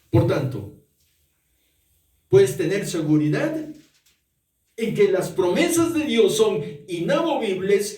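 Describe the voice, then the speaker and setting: In a dark, mellow tone with very wide pitch swings, the speaker moves at a very slow pace with long, frequent pauses and audible room echo. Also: man. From Peru, Arequipa. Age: 60s. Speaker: pastor. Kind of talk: sermon.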